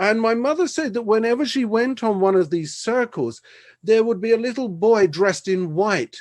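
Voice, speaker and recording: Against a quiet background, a man with a London accent speaks with lively intonation. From South London, England. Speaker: preacher giving his testimony. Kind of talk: testimony.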